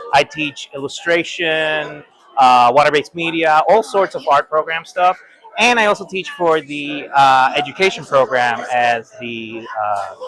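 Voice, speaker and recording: At a fairly slow pace, a man with a Spanish accent and a fairly high pitch uses lively intonation amid noticeable background noise. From Puerto Rico. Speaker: art professor. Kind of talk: interview. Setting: convention hall.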